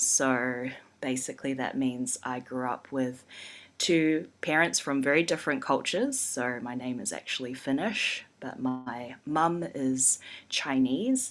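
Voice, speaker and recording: Very deep, low woman's voice at a fairly slow pace, with fairly even intonation, in a very clean recording over a silent background. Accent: New Zealand. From New Zealand. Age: 30s. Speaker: urban designer and community developer. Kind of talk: podcast interview.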